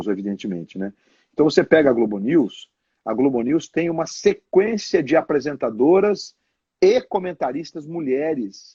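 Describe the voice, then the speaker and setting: Very wide pitch swings in a dark, mellow tone at a moderate pace, the sound dry and close with no echo. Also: man, fairly high pitch for a man. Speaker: television sports narrator. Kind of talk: casual live interview answers.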